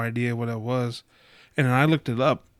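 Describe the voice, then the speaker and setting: A man with an American accent at a medium pitch, flat and monotone, in a dry, close sound with no echo and a very clean recording over a silent background. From Chicago area, US Midwest. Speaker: podcast host. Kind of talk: casual chat.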